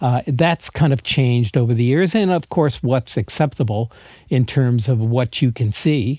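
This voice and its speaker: A man speaks at a moderate pace and medium pitch in a dark, mellow tone, with ordinary pitch variation and very even loudness. The sound is dry and close with no echo, on a very clean recording with a silent background. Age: 60s. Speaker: art photographer and emeritus art professor. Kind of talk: interview.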